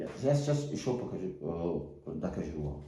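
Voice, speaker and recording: Audible room echo surrounds a man with a Tajik accent. His pitch sits in the medium range and makes very wide swings. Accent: Tajik-accented Russian. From Tajikistan, Sughd region. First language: Tajik (speaking Russian). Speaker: political activist. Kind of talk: video appeal. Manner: halting, many hesitations.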